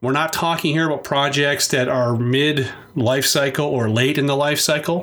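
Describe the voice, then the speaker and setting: A man's fairly high voice carries fairly even intonation. Room echo is audible, and background noise is noticeable. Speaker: podcast host and technology advisor. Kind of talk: solo podcast monologue.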